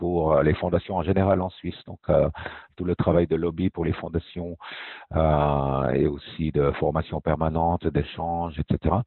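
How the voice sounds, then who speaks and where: Moderate pace and fairly even intonation in a man's very deep, low voice. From French-speaking Switzerland (Fribourg). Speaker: foundation director. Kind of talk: interview.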